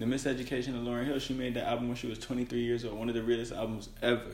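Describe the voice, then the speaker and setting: Talking at a very fast pace, a man keeps a monotone, flat intonation amid audible room echo. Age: 20s. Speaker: podcast co-host. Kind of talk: casual chat.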